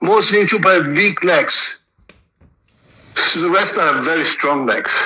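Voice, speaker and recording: A man with a high pitch raises and projects his voice, moving at a moderate pace with ordinary pitch variation. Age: 60s. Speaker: martial arts teacher. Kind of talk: interview. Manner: animated.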